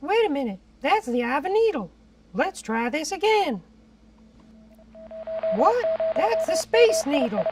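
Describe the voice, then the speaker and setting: A cartoonish character voice, high in pitch, swoops through very wide pitch swings at a moderate pace. Long pauses come often. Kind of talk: mock weather report. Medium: puppet. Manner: flustered, silly.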